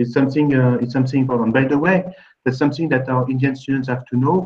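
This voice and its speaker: A man talks with a French accent. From France. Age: 50s. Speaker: admissions consulting founder. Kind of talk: webinar panel discussion. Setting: video call. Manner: halting. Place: office.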